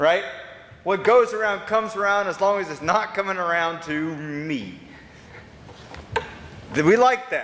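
At a moderate pace, a man with a high voice speaks with ordinary pitch variation and long, frequent pauses. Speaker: pastor. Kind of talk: sermon. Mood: wry, conversational. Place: church. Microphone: camera far.

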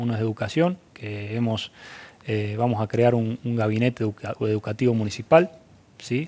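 With a dark, mellow tone, a man speaks at medium pitch and a fairly quick pace. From Argentina, Córdoba province (Viamonte); Córdoba province, Argentina. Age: 30s. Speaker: mayor-elect and farmer; mayor-elect. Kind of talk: interview. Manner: halting. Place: studio. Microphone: lapel.

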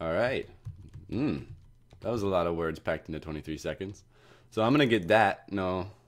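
A man with a very deep, low pitch speaks at a moderate pace with lively intonation and long, frequent pauses. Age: 20s. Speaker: gaming youtuber. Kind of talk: gameplay commentary. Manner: casual, laughing.

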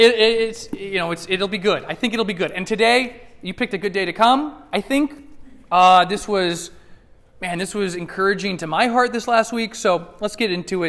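A man's voice, high-pitched, at a moderate pace. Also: ordinary pitch variation. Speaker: preacher. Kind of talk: sermon. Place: church.

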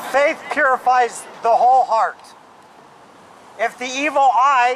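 A man talks at a fairly slow pace, with light background noise behind him. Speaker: street preacher. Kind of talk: sermon. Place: street.

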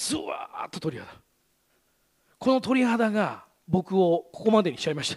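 A man with a high pitch speaks with lively intonation and big swings in loudness. He leaves long, frequent pauses, and the background is quiet. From Gunma, Japan; Japan. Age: 40s. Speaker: radio host. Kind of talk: presentation talk; public talk. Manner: fast. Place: stage. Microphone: headset.

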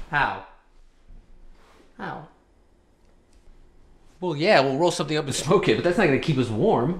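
A man's whiny, put-on character voice, fairly high in pitch, at a moderate pace with long, frequent pauses. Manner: whiny, overdramatic, questioning.

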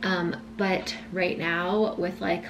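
Ordinary pitch variation comes through against noticeable background noise. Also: woman. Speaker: lifestyle vlogger. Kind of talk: casual vlog chat. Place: kitchen. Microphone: camera far.

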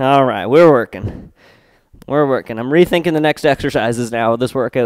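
Very fast talking from a man. No echo, just dry sound over a quiet background. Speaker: fitness instructor. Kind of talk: workout instruction. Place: home room.

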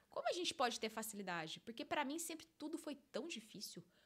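This woman's tone is animated. Her pitch rises and falls over a very wide range. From interior of São Paulo state, Brazil (Limeira). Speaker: life coach and podcast host. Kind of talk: solo monologue podcast, personal story. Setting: studio. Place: studio. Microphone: studio mic.

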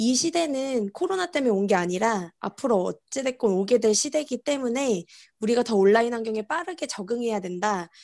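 Lively intonation carries the voice over a quiet background. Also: woman. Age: 30s. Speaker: network marketing distributor; conference presenter. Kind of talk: interview answers on video conference. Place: home room. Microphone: earbuds.

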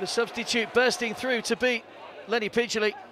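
Over noticeable background noise, a man with extremely high pitch uses a raised, projected voice with fairly even intonation. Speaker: football commentator. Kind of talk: live football commentary highlights. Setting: match commentary over highlights reel. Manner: stats-laden, brisk, informative.

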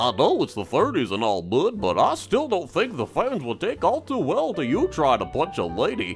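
Clear music plays in the background while a man performs a cartoonish character voice. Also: moderate pace. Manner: dry, wry.

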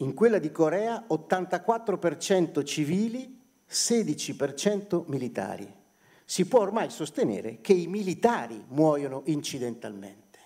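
A man's high-pitched voice with a dark, mellow tone, very wide pitch swings and a very slow pace over a quiet background. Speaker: journalist. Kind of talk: panel talk. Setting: stage with audience. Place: hall. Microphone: podium.

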